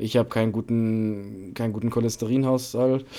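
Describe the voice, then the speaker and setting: Over a very clean, silent background, a man speaks in a monotone, flat way with a medium pitch and a dark, mellow tone. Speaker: podcast co-host. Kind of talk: casual chat.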